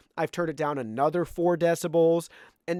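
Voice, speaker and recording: Loud, high-pitched male speech at a fairly quick pace with fairly even intonation, dry and close with no echo, on a very clean recording with a silent background. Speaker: tech product reviewer. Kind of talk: product review tutorial.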